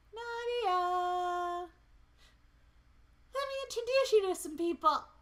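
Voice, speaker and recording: This squeaky, put-on character voice has an extremely high pitch and a fairly slow pace. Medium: read story. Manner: enthusiastic.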